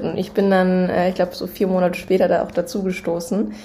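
A woman speaks at a moderate pace in a medium-pitched, dark, mellow tone that is somewhat breathy. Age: 20s. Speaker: startup co-founder. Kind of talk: casual chat.

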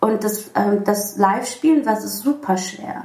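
An ordinary speaking voice with ordinary pitch variation. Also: woman. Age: 30s. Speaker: musician. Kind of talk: casual interview.

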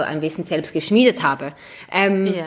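Using a plain, everyday voice, a woman speaks at a moderate pace with fairly low pitch and ordinary pitch variation. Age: 20s. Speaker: model and footballer's wife. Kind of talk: casual chat.

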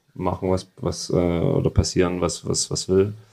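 Against a quiet background, a man with a slight Saxon accent speaks in a very deep, low pitch and a dark, mellow tone. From Saxony, Freiberg. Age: 30s. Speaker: football goalkeeper. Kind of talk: interview.

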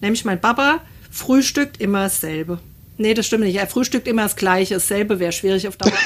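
This woman has a medium pitch and ordinary pitch variation. It is an ordinary speaking voice. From Hesse, Germany (Assenheim). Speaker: podcast guest. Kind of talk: casual chat.

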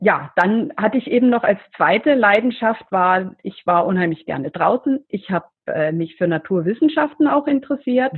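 At a moderate pace with hardly any pauses, a woman speaks at fairly high pitch with very wide pitch swings. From Middle Franconia, Bavaria. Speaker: geologist and professor. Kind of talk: interview.

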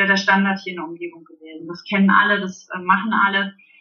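Noticeable noise fills the background. Over it a woman talks. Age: 30s. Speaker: indoor playground founder and childminder. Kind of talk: interview. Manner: halting, many fillers.

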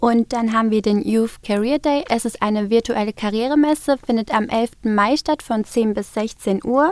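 A woman with an unremarkable speaking voice and a fairly high pitch, at a moderate pace with ordinary pitch variation and hardly any pauses, in a dry, close sound with no echo. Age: 20s. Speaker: student society officer. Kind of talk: interview. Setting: studio.

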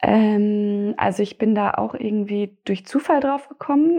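A normal speaking voice from a woman at medium pitch, with ordinary pitch variation. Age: 20s. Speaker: logistics apprentice. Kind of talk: interview.

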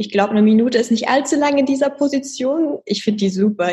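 A plain, everyday voice from a woman, fairly high in pitch, with ordinary pitch variation at a fairly quick pace. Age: 20s. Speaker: fitness trainer. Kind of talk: interview with exercise instructions.

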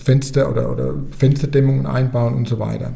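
Audible room echo surrounds a man speaking at a medium pitch and a moderate pace. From Germany, Rhön region (Lower Franconia, Bavaria). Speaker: bank sustainability officer. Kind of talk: podcast interview.

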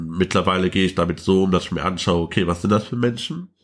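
A man with a very deep, low voice speaks at a very fast pace. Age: 20s. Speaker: trade unionist and activist. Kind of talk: interview conversation.

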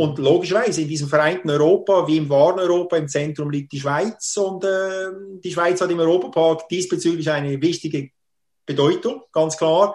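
This man has a high pitch. His intonation stays fairly even. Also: moderate pace. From Switzerland, Schwarzbubenland (Solothurn). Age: 50s. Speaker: theme park representative and marketing consultant. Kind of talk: interview conversation. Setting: video call from home.

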